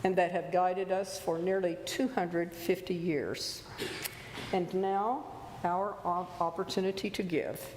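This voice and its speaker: Audible room echo around a woman talking at a fairly slow pace. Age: 70s. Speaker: lay worship leader. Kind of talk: church service welcome and announcements. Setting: church sanctuary.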